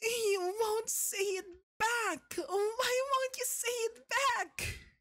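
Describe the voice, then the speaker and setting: The speaker uses a put-on character voice and goes at a very slow pace. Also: man. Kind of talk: ASMR roleplay. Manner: soft-spoken, menacing, dominant.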